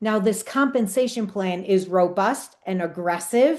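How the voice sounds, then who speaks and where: A woman speaks at a moderate pace. Her tone is animated. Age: 60s. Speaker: direct sales business leader. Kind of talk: sales pitch.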